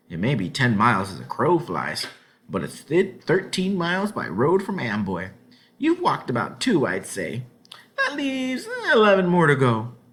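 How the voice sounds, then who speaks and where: A gruff, nasal put-on character voice at a moderate pace. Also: man, fairly high pitch for a man. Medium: read story. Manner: gruff, suspicious.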